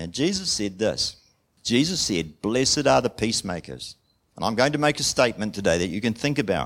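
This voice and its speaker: Recorded very cleanly against a silent background, a man's voice shows vocal fry and very wide pitch swings. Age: 60s. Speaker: preacher. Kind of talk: sermon. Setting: church.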